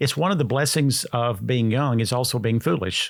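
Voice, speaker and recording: A man with an American accent and a normal speaking voice, medium in pitch, with ordinary pitch variation at a moderate pace, on a very clean recording with a silent background. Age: 60s. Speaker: health food store founder. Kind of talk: interview.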